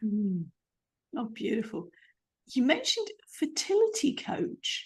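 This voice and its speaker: A woman's high voice in a British accent, with very wide pitch swings. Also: fairly slow pace. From UK. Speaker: podcast host. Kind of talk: podcast interview.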